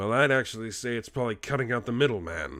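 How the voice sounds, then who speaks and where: A raspy, put-on character voice at a very fast pace. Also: man. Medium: virtual streamer. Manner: measured, speculative.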